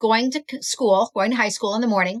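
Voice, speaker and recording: With an American accent, a woman speaks in a bright, sharp tone, the sound dry and close with no echo. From US Midwest, St. Louis, Missouri. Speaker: author and musician. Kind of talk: interview storytelling. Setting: podcast interview.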